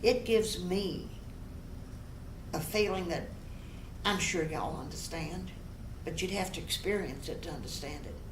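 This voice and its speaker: A woman talks at a medium pitch with ordinary pitch variation and a fairly slow pace. Audible room echo and noticeable background noise fill the recording. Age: 70s. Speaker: motivational speaker. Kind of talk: interview.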